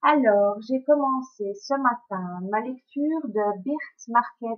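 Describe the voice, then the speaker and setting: Speaking very slowly with a Belgian accent, a woman uses a fairly high pitch and ordinary pitch variation. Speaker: book blogger. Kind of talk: book review vlog. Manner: hesitant, many fillers.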